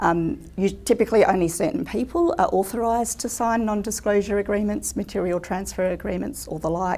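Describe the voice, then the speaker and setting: A woman speaks with an Australian accent. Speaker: legal seminar presenter. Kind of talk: lecture. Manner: fast; many fillers (um).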